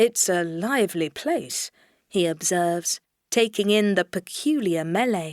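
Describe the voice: Someone reads aloud plainly. Little else can be heard behind the voice.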